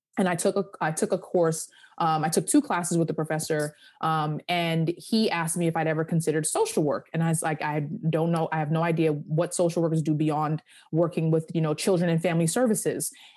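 In a plain, everyday voice with an American accent, the speaker talks at a fairly quick pace with fairly even intonation against a quiet background. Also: woman, fairly low pitch for a woman. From Long Island, New York. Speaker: lawyer and career coach. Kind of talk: interview.

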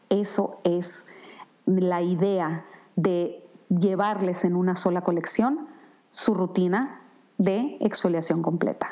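Very even in loudness, a woman speaks at a very slow pace with long, frequent pauses, a medium pitch and ordinary pitch variation. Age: 50s. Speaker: skincare brand founder. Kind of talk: product presentation monologue.

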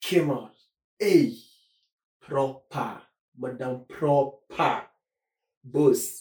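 A man speaks with fairly even intonation, somewhat breathy, with long, frequent pauses. His loudness swings widely. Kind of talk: casual chat.

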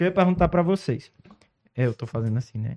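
A man with a dark, mellow tone talks at a fairly quick pace, his pitch varying in an ordinary way. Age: 30s. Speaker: podcast host. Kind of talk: casual interview with children.

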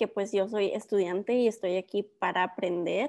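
A woman's medium-pitched, flat, monotone voice against a quiet background. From northern Mexico (Ciudad Juárez, Coahuila). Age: 20s. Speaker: PhD student and science content creator. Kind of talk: interview.

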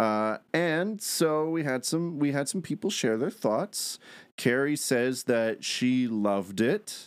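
A man speaks very slowly with lively intonation and a fairly high pitch, on a very clean recording with a silent background. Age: 20s. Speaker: film podcast host. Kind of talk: casual chat.

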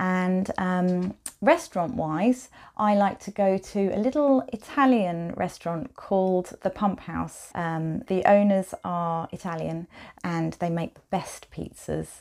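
A woman with a southern English accent, a medium pitch, ordinary pitch variation and a very slow pace, on a very clean recording with a silent background. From Kent, southeast England. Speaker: quilt designer. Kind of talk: interview. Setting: her studio, in person.

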